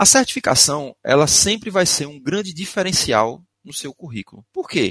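A man speaks at a fairly high pitch with vocal fry. His pitch swings very widely and his loudness rises and falls sharply. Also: dry, close sound with no echo. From Recife, Pernambuco, northeast Brazil. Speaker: IT security instructor. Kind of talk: webinar presentation.

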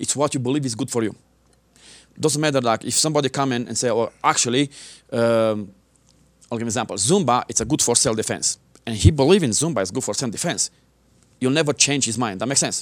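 A man with a non-native accent talks at a very fast pace with long, frequent pauses. His voice sits at a medium pitch with ordinary variation. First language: not English. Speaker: martial arts instructor and military veteran. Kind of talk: interview. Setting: local TV studio.

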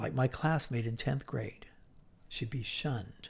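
Somewhat breathy delivery with lively intonation. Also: man. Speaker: Bible teacher. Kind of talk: Bible teaching lecture.

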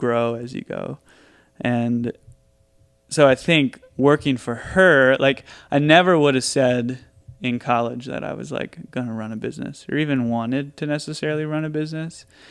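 A man with an American accent talks at a moderate pace in an ordinary speaking voice, his pitch medium and its variation ordinary, against a quiet background. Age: 20s. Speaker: coffee entrepreneur. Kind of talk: casual chat.

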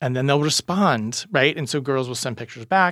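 An ordinary speaking voice with ordinary pitch variation. The recording is very clean, with a silent background. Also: man. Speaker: therapist and speaker. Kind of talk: interview conversation, podcast.

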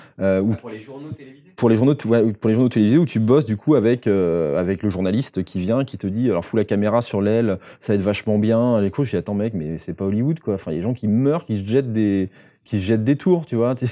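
Hardly pausing, a man talks fairly quickly in a fairly low voice with ordinary pitch variation. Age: 40s. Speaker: photographer and filmmaker. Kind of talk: podcast interview, casual talk. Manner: hesitant, many fillers.

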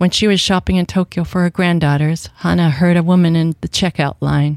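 A woman's plain, everyday voice with an American accent, fairly low in pitch at a moderate pace, in a very clean recording with a silent background. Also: dry, close sound with no echo. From Washington State, US. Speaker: novelist. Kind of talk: radio interview. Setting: radio studio.

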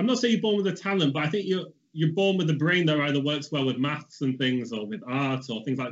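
With a Mancunian accent, a man talks at a very fast pace with hardly any pauses, using lively intonation and a fairly high pitch. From Stockport, Greater Manchester, England. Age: 20s. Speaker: portrait artist. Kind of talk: casual interview chat.

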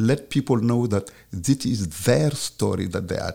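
A man with a Senegalese accent, at a moderate pace. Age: 60s. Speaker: professor and filmmaker. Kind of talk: casual interview conversation. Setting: studio.

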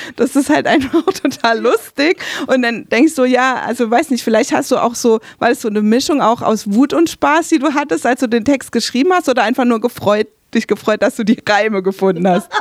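A woman speaks at a fairly quick pace in a high voice, her intonation lively and her loudness very even. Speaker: radio host and interviewer. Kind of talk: interview conversation. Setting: radio studio.

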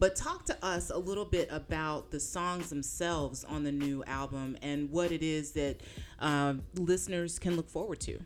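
A woman speaks at a moderate pace in a very deep, low pitch, her intonation fairly even. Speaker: podcast host. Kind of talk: casual chat.

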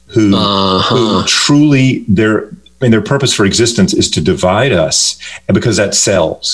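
Through noticeable background noise, a man at a medium pitch speaks with lively intonation and very even loudness. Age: 50s. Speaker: children's book author. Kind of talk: radio interview.

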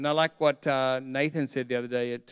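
An animated voice with an Australian accent moves at a moderate pace, captured as a dry, close sound with no echo. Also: man. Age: 50s. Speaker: pastor. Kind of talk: sermon.

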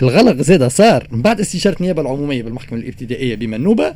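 A man speaks at a very fast pace in a medium pitch. His pitch swings very widely. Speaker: radio news segment presenter. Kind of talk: news commentary segment.

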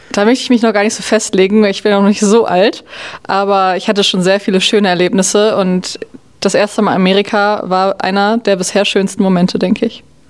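A woman's medium-pitched, monotone, flat delivery at a fairly quick pace, with noticeable background noise. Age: 20s. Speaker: generation Z interviewee. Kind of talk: interview answers.

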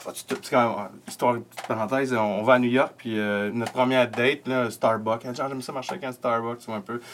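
With a Quebec accent, a man speaks at a medium pitch and moderate pace with fairly even intonation over noticeable background noise. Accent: Québécois French. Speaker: podcast host and comedian. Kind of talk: casual chat. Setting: home studio.

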